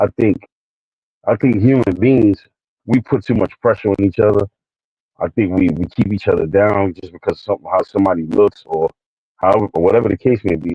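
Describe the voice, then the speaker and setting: Here a man talks fairly quickly with ordinary pitch variation, his voice fairly low. Long, frequent pauses break up his speech. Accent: New York. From New York City, the Bronx. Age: 40s. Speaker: livestream co-host. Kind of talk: casual talk monologue. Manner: halting, many fillers and repeats.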